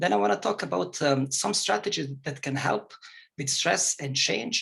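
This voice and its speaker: A man speaks with a bright, sharp tone, a fairly high pitch and a non-native accent. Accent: foreign. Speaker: psychologist. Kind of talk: lecture. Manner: fast.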